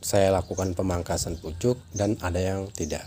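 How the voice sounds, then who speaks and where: Very deep and low in pitch, this man's voice has a dark, mellow tone. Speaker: chili grower, farming vlogger. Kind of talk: tutorial. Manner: casual.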